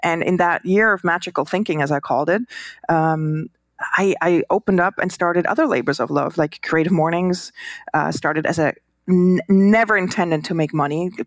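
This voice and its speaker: In a Swiss accent, a woman speaks at a fairly quick pace with a fairly low pitch, ordinary pitch variation and very even loudness, in a dry, close sound with no echo on a very clean recording with a silent background. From Switzerland. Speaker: designer and entrepreneur. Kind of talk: casual interview. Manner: hesitant, filler words, warm.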